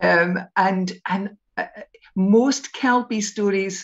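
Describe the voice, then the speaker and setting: A woman speaks at a medium pitch in a North East Scottish accent. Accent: North East Scottish (Doric). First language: Doric. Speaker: storyteller. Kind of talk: storytelling; casual chat.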